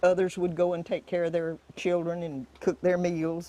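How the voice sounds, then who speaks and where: At a moderate pace, a woman with a Florida accent talks in a fairly low pitch and a dark, mellow tone. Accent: rural Florida Southern. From US South, interior Florida (Indiantown). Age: 90s (born 1929). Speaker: rancher. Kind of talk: interview testimony. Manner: halting, many restarts.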